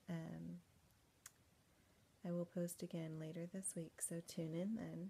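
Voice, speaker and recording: A woman, somewhat breathy and dark and mellow in tone, talks at a fairly slow pace. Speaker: vlogger, pregnant stay-at-home mom. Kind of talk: casual vlog to camera. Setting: home at night, dark room.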